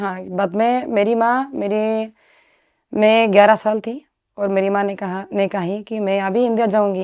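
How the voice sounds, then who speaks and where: A woman speaks with a Spanish accent at a medium pitch. Her intonation is fairly even. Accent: Spanish-accented Hindi. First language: Spanish (speaking Hindi). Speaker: sadhvi, former doctor. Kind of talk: interview. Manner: halting.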